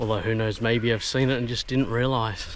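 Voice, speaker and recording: The speaker has an Australian accent. Noticeable background noise runs underneath. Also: man. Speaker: travel vlogger. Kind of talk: casual vlog narration. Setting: outdoors, bush walk. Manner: animated.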